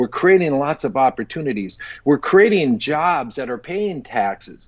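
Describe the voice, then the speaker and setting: A man with a normal speaking voice, fairly high pitch, lively intonation and a moderate pace. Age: 60s. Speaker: entrepreneur. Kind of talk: casual chat.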